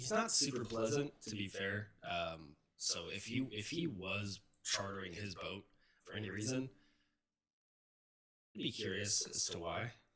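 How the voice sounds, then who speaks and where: Using a put-on character voice, a raspy man speaks at a moderate pace with a fairly low pitch, ordinary pitch variation, and long, frequent pauses. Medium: actual play.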